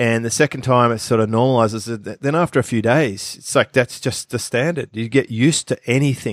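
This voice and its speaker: A man's medium-pitched voice with an Australian accent, at a fairly quick pace with ordinary pitch variation, dry and close with no echo, on a very clean recording with a silent background. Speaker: business expert podcast co-host. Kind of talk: casual chat.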